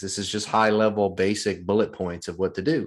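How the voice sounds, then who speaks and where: In a Southern US accent, the speaker talks at a very fast pace on a very clean recording with a silent background. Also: man. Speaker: real estate investor. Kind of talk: podcast interview.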